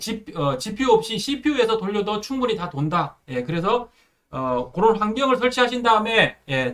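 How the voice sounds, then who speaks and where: Lively intonation marks this man's high-pitched voice as he speaks at a moderate pace. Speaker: programming instructor. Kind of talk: tutorial. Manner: many filler words, hesitant.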